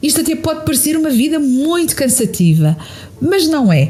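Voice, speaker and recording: A woman's high voice with a European Portuguese accent, lively intonation and a moderate pace, with noticeable background noise. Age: 60s. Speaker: podcast host and therapist. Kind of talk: podcast monologue answering listener questions.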